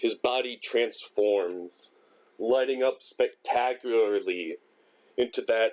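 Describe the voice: Someone reads text aloud. The delivery is plain.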